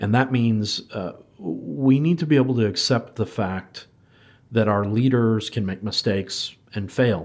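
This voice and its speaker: A man with an unremarkable speaking voice and an American accent, medium-pitched and fairly slow, on a very clean recording with a silent background. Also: ordinary pitch variation. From United States. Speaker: podcast host and IT professional. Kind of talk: casual interview conversation.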